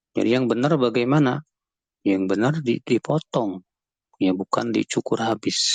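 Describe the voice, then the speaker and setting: A man speaks at a moderate pace in a dry, close recording with no echo. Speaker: Islamic cleric, teacher. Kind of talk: religious Q&A.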